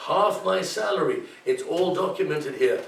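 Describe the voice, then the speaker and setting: A man speaks with audible room echo. Noticeable background noise is present too. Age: 70s. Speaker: political candidate. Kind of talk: campaign pitch in interview. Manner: animated.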